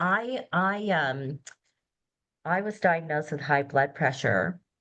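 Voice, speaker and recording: Against a quiet background, a woman with a very deep, low pitch speaks at a very slow pace using lively intonation. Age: 60s. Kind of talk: casual conversation.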